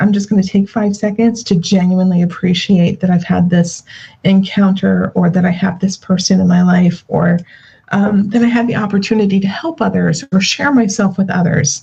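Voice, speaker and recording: Putting on a raspy character voice at medium pitch, a woman speaks at a moderate pace with fairly even intonation and very even loudness. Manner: calm, reflective.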